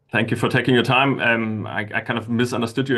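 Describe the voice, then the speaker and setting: This man has a German accent, a medium pitch and fairly even intonation. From Germany. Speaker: caller, crypto trader. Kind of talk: casual chat. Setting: calling from work. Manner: halting.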